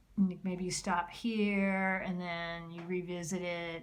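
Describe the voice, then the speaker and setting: A woman's fairly low voice comes through over clearly audible background noise. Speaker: art teacher. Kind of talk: tutorial. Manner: slows down and gets calmer while drawing; hesitant, many fillers.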